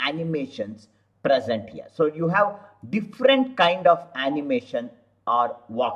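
A man talks at a fairly slow pace in a bright, sharp tone, with very wide pitch swings. The background is quiet. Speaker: software tutorial instructor. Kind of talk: tutorial. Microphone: webcam.

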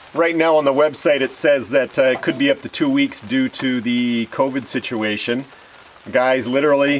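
Light background noise sits under a man's voice. He talks at a moderate pace with ordinary pitch variation. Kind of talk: tutorial. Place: open country.

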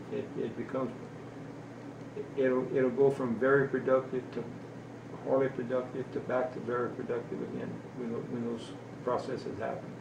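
Over noticeable background noise, a man speaks in a monotone, flat intonation at a moderate pace, broken by long, frequent pauses. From South Louisiana. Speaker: wildlife sanctuary caretaker. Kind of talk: interview answer.

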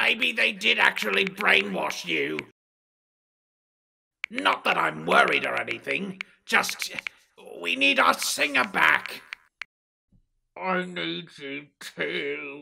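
A man performs a cartoonish character voice, raspy and very deep in pitch. He talks at a very slow pace with long, frequent pauses. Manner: petulant, sneering, then pleading.

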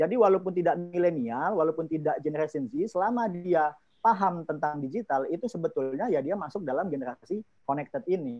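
A high male voice with lively intonation, fairly quick, over a quiet background. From Indonesia. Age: 30s. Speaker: youth organization chief; webinar presenter. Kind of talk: presentation. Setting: video call. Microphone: earbuds.

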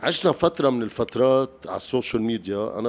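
Speaking at a medium pitch, a man talks with a Lebanese accent. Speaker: talk show host. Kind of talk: interview. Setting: studio with audience.

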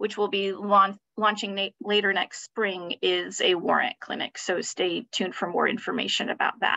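A woman's bright, sharp tone with monotone, flat intonation and hardly any pauses, in a dry, close sound with no echo. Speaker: legal director at a criminal justice nonprofit. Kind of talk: webinar presentation.

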